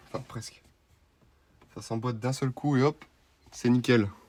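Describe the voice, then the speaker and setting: A man at medium pitch with monotone, flat intonation and a fairly slow pace. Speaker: car vlogger. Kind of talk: vlog tutorial. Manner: casual.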